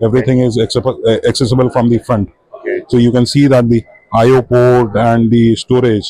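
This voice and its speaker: At a moderate pace, a man speaks with monotone, flat intonation and very even loudness, the sound dry with no echo over a quiet background. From India. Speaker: company director. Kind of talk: trade show interview. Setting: exhibition booth. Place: hall.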